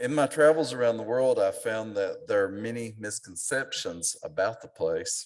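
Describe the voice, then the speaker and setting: A man speaks with an Appalachian accent at a moderate pace. He leaves hardly any pauses. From Appalachia, eastern Kentucky. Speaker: author and lecturer. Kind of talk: lecture. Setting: auditorium with audience.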